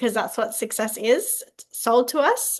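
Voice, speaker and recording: A woman speaks in an Australian accent with fairly high pitch. Her pace is moderate. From Australia, Southeast Queensland. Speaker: holistic health coach. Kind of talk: interview.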